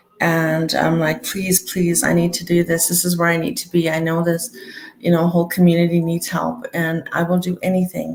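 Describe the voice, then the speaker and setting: With noticeable background noise behind her, a woman speaks at a moderate pace in a fairly low voice. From Alberta, Canada (rural, near Lac La Biche). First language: Cree. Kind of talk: interview.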